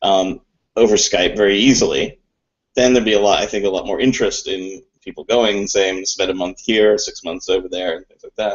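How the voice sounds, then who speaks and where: A man with a Mid-Atlantic accent talks at a fairly quick pace. His loudness swings widely. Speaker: co-founder and co-host of business chat show. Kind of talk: casual chat.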